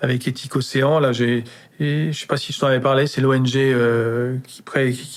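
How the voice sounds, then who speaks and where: Here a man talks at a moderate pace. His pitch sits at a medium level. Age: 60s. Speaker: chef. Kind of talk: casual interview chat. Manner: halting, many repetitions and hesitations.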